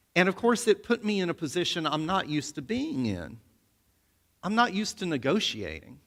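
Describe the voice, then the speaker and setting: On a very clean recording with a silent background, a man speaks loud and at a high pitch. His pace is fairly quick, with very wide pitch swings. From US South, Alabama. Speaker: seminary professor. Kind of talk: sermon.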